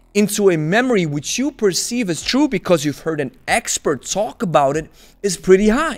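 Against a quiet background, a man talks at a moderate pace with very wide pitch swings. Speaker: kettlebell coach. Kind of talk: commentary. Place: home room. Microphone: studio mic.

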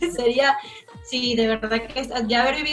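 A woman speaks with a high pitch. Faint music can be heard in the background. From Margarita Island, Venezuela. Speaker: singer. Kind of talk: interview answer. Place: home room. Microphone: video call.

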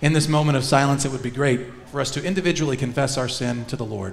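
A man speaks at a very fast pace. Light background noise can be heard. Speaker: minister leading worship. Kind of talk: worship service announcements and liturgy. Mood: warm, joyful. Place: church.

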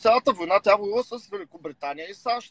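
In a high pitch with ordinary pitch variation, a man rattles along at a very fast pace, the sound dry with no echo. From Bulgaria. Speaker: rapper and political commentator; political commentator. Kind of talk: casual chat. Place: car. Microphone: video call.

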